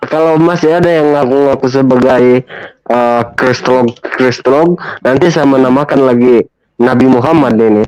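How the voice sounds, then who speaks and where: A man's medium-pitched voice with very even loudness, fairly even intonation and a moderate pace. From Malaysia, Kota Kinabalu (Sabah). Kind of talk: casual chat. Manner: halting, many fillers.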